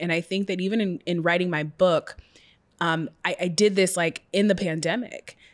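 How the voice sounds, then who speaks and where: With an American accent, a woman speaks in a normal speaking voice, fairly low in pitch and fairly even in intonation. Her pace is moderate, and the recording is very clean with a silent background. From US Pacific Northwest, Seattle. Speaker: journalist and author. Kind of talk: casual interview.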